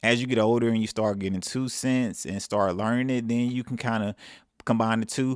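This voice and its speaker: In a very clean recording with a silent background, a man with a Southern US accent talks in a fairly low voice with fairly even intonation. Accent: southern drawl. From Mississippi. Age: 30s. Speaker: self-improvement vlogger. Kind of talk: casual advice monologue.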